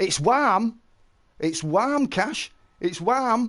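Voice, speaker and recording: Loud and animated, a man talks with very wide swings in pitch. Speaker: game streamer. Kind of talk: casual live-stream commentary.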